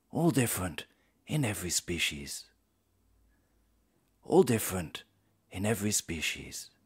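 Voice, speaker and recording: Fairly low male voice, somewhat breathy and fairly slow, with very wide pitch swings against a quiet background. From England. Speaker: voice actor. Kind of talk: documentary narration. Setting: studio. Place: studio. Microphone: studio mic.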